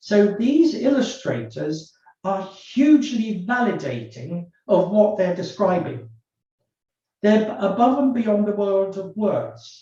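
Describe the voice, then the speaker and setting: A man with a British accent, high-pitched and dark, mellow in tone, with lively intonation, a very slow pace and audible room echo. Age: 70s. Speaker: forensic psychologist. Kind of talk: webinar discussion.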